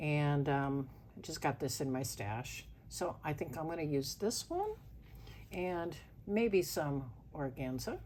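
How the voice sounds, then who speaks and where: Very slowly and with long, frequent pauses, a woman talks in a very deep, low pitch with ordinary pitch variation. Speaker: crafts youtuber. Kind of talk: tutorial. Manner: casual with many fillers.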